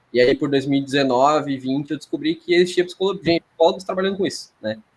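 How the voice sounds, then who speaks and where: A man at a very fast pace, pitch varying in an ordinary way. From Rio Grande do Sul, Brazil. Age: 30s. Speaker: sports psychologist. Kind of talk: podcast interview. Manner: hesitant, many fillers and repetitions.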